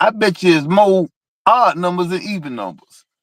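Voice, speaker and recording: Speaking with a Georgia accent at a fairly slow pace, a man with a high pitch has an animated tone and ordinary pitch variation, in a dry, close sound with no echo on a very clean recording with a silent background. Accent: Southern US, Georgia. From US South, South Georgia. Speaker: car enthusiast. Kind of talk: casual chat. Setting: live stream.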